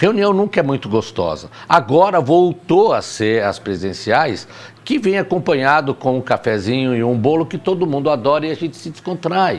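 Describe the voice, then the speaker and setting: With noticeable background noise, a man talks in a fairly high pitch, his voice swinging very widely up and down. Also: moderate pace. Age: 60s. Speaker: teacher. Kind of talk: casual chat.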